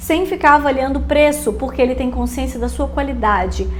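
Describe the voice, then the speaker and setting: There is music in the background and audible room echo. A woman speaks in an animated tone. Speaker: online business coach. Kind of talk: casual podcast-style tutorial.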